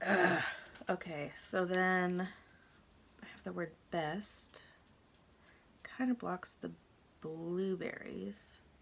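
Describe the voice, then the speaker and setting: Very slow delivery with long, frequent pauses and big swings in loudness. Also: woman. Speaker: crafting YouTuber. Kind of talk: casual craft tutorial vlog. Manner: chatty, thinking aloud. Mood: relaxed, chatty. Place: home room.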